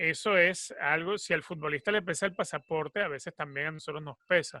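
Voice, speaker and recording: The man's fairly high pitch carries a bright, sharp tone and a Venezuelan accent. He moves at a fairly quick pace, and the sound is dry and close with no echo. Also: very clean recording, silent background. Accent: Venezuelan, Caribbean. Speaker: football commentator and sports journalist. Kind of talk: interview.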